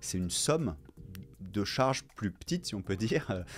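The intonation is lively and the pace moderate. Light background noise is present. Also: man. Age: 40s. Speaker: co-founder of a contraception cooperative. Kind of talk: interview testimony. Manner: hesitant, many fillers. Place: studio. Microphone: studio mic.

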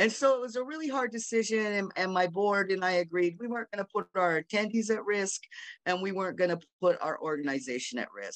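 A woman at a fairly quick pace against a quiet background. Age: 60s. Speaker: sex worker rights activist, panelist. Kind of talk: panel discussion. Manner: halting, many fillers. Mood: earnest, reflective. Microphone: video call.

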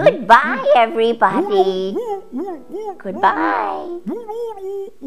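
Over clear background noise, a female-sounding, cartoonish character voice speaks at a very slow pace. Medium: puppet. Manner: hesitant, grumpy.

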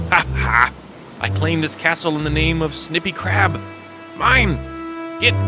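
A gruff, put-on character voice at a moderate pace, with very wide pitch swings. Music plays clearly in the background. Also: man, medium pitch for a man. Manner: fierce, boastful.

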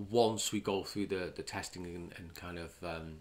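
His tone comes across bright and sharp. The man keeps a moderate pace. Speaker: channel host commenting on news. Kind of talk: commentary. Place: home room.

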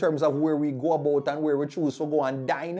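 A man with a Jamaican accent speaks at a moderate pace. His tone is animated. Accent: Jamaican, with patois. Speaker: YouTube commentary vlogger. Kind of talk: casual commentary monologue. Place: studio. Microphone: lapel.

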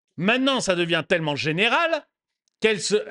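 Raising and projecting his high voice, a man speaks at a moderate pace in a bright, sharp, animated tone, with a dry, close sound, no echo and a quiet background. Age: 50s. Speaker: political commentary YouTuber. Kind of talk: commentary monologue reacting to a news video. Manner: animated, repetitive emphasis.

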